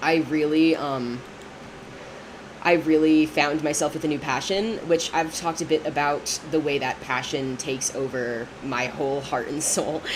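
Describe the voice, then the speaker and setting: A woman's very deep, low pitch with ordinary pitch variation at a moderate pace over noticeable background noise. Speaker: streamer, college theater student. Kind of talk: casual livestream chat while gaming. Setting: livestream at desk. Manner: hesitant, many fillers and restarts.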